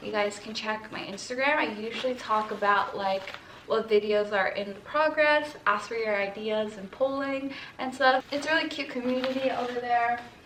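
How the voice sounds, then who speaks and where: A woman talks at a moderate pace with ordinary pitch variation. There is noticeable background noise and audible room echo. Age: 20s. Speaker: lifestyle vlogger. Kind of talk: casual haul vlog. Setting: friend's quiet apartment. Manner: chatty, filler-heavy.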